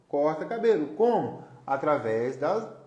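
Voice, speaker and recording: A man with a fairly high pitch talks at a fairly slow pace. His pitch variation is ordinary, and audible room echo surrounds him. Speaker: live-stream host, therapist-style educator. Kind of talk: solo live stream talk. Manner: loud, gets louder as he warms up; animated.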